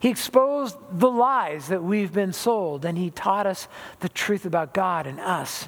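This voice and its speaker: A fairly slow delivery with an American accent. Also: man, high pitch for a man, lively intonation. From Southern California. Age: 60s. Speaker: pastor. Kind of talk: sermon.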